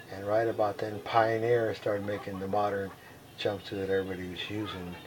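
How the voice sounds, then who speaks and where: Against noticeable background noise and audible room echo, a man speaks in a monotone, flat intonation. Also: fairly low pitch for a man. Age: 70s. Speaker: veteran skydiver. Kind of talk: oral history interview. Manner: halting, many fillers.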